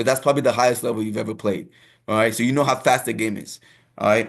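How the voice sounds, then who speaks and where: A man with an African accent and ordinary pitch variation, over a quiet background. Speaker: soccer coach. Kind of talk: lecture. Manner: reads slides aloud with filler asides.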